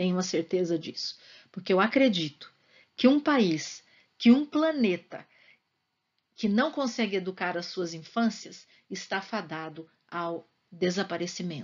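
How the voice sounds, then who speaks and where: Her loudness swings widely as she talks at a fairly slow pace. The woman has a medium pitch and lively intonation. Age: 60s. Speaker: school psychologist. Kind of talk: interview answers to students. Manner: talkative.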